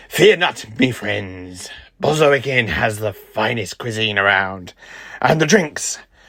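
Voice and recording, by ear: A man puts on a character voice at a fairly low pitch, with a bright, sharp tone. He speaks at a slow pace with lively intonation.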